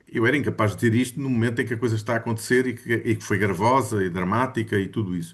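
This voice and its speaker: Very fast, somewhat breathy speech with fairly even intonation and hardly any pauses. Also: man, medium pitch for a man. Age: 60s. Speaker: study group participant. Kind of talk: casual group discussion. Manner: halting, many fillers.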